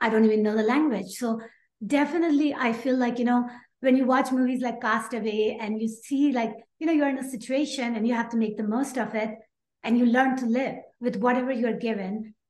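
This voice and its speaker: A woman with a Pakistani accent talks at a fairly quick pace. Her pitch is high and her intonation fairly even. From Pakistan (Karachi). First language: Urdu. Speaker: aerospace engineer and health coach. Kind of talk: interview.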